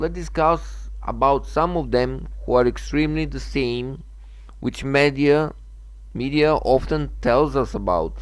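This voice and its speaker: A man speaks with a Macedonian accent. His pace is fairly slow. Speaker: gaming channel owner. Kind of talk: opinion monologue. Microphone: bad sound at the very beginning.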